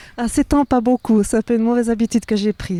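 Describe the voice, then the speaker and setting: Noticeable background noise sits behind a dry, close sound with no echo. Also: woman. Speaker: organic farmer. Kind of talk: interview. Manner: hesitant, many fillers.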